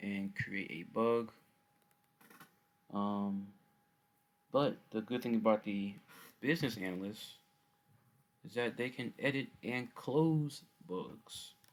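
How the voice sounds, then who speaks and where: A man talks at a very slow pace. Long, frequent pauses break up his speech. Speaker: student presenting a software project. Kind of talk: software demo walkthrough. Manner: casual with filler words.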